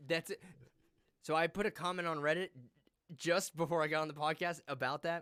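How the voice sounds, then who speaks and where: A bright, sharp voice with an American accent moves at a fairly quick pace in a flat monotone. The sound is dry and close with no echo, broken by long, frequent pauses. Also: man, high pitch for a man. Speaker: podcast host. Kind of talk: casual chat.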